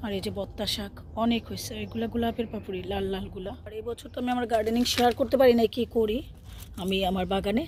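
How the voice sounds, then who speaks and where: A woman with a fairly high pitch has a dark, mellow tone. Her intonation stays fairly even. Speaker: gardening vlogger. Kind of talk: casual vlog narration. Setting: outdoors in garden.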